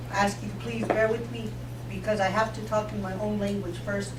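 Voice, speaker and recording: A woman speaks with audible room echo. Noticeable background noise runs under her voice. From South Dakota, Lakota reservation. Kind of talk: radio interview. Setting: live broadcast from a mall with audience.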